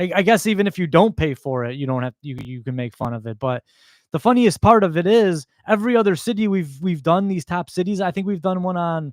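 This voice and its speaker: At a fairly quick pace, a man talks with a high pitch and lively intonation in a very clean recording with a silent background and a dry, close sound with no echo. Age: 30s. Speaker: comedian. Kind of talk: casual comedic monologue. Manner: halting, with repetitions and fillers.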